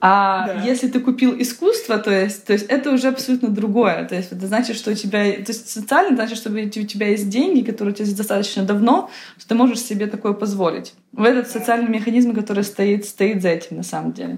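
A woman speaks at a very fast pace in a fairly high pitch, somewhat breathy, with fairly even intonation and big swings in loudness. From Ukraine, Kyiv. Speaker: art advisor. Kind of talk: interview.

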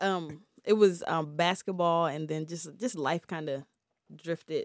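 A woman with an American accent speaks in an unremarkable speaking voice at a fairly low pitch and moderate pace, with ordinary pitch variation and big swings in loudness, on a very clean, dry, close recording with a silent background and no echo. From Prince George's County, Maryland. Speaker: investor and music label owner. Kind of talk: casual interview. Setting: studio.

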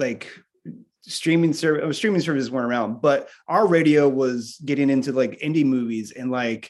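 A plain, everyday voice with an American accent, ordinary pitch variation and a moderate pace against a quiet background. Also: man. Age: 40s. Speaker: rock drummer. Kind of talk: casual interview chat. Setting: remote call from home music room.

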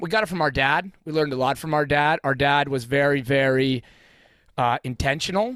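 An unremarkable speaking voice comes from a man with a fairly high pitch. He talks at a moderate pace with ordinary pitch variation. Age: 40s. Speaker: high school teacher. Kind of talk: casual chat.

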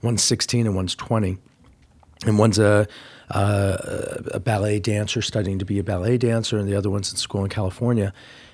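A man in an American accent speaks fairly quickly in a fairly low, somewhat breathy voice with monotone, flat intonation. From US Midwest (Indiana). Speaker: street style photographer. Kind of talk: interview conversation. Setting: office.

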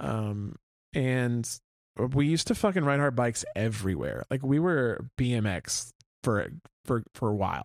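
A man with an American accent speaks in a plain, everyday voice at a medium pitch and moderate pace, with lively intonation. The recording is dry and close with no echo, very clean, with a silent background. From Oklahoma City, south side. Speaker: podcast co-host, radio worker. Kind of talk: casual chat.

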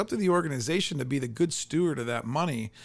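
At a fairly quick pace, a man talks in a plain, everyday voice with lively intonation. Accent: American. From Canton, Ohio. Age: 40s. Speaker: podcast host. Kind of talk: interview.

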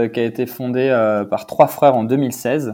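A man's dark, mellow tone with fairly even intonation, on a very clean recording with a silent background. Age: 30s. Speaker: e-commerce director. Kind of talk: interview.

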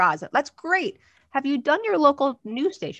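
A woman's bright, sharp tone rises and falls with lively intonation in a dry, close sound with no echo. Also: quiet background. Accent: New Jersey. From New Jersey. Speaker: publicity and media coach. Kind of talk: casual interview chat. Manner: animated.

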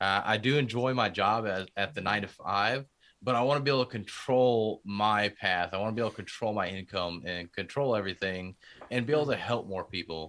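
In a very clean recording with a silent background, a man with an American accent and an unremarkable speaking voice talks at a fairly quick pace, his pitch fairly low with ordinary variation. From Houston, Texas. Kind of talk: casual interview conversation.

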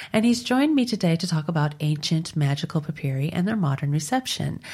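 In a very clean recording with a silent background, a woman speaks at a moderate pace in a fairly low, somewhat breathy voice with a dark, mellow tone. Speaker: podcast host. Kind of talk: interview.

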